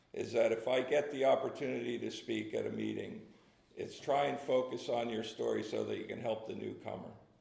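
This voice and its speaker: A man with a New Jersey accent at a fairly quick pace, amid audible room echo and noticeable background noise. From New Jersey (Red Bank). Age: 60s. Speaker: recovering alcoholic speaker. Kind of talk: testimony. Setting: meeting with audience. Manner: halting, many fillers.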